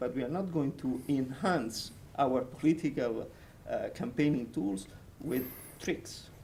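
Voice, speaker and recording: Marked by a non-native accent and vocal fry, a dark, mellow voice moves at a moderate pace with ordinary pitch variation in audible room echo. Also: man. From Italy, Rome. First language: Italian. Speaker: European party secretary general. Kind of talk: panel discussion.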